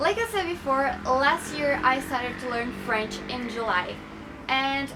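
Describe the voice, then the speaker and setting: A woman with a Portuguese accent uses a raised, projected voice at a high pitch and a moderate pace. Room echo is audible, and background noise is noticeable. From Brazil. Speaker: YouTuber. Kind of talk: casual vlog talk to camera.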